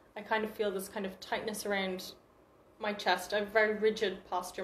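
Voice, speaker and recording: Noticeable background noise and audible room echo surround a woman speaking at a fairly quick pace in a monotone, flat intonation. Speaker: confidence workshop presenter. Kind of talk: educational talk. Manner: fast.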